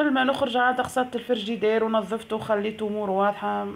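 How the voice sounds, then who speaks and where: With a Tunisian accent, a woman talks at a medium pitch. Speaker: vlogger. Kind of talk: casual vlog narration.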